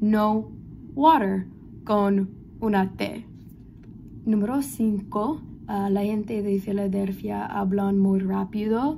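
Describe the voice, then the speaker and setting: A woman's somewhat breathy voice with a dark, mellow tone, fairly even intonation, a very slow pace and long, frequent pauses over light background noise. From Philadelphia, US. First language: English (speaking Spanish). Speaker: language student. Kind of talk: class presentation. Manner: halting. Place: home room. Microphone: phone near.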